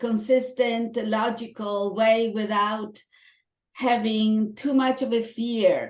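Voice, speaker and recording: Speech in a strong Italian accent comes at a very slow pace with monotone, flat intonation. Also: woman, fairly high pitch for a woman. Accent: heavy Italian. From Italy. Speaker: toastmasters club member. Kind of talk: interview.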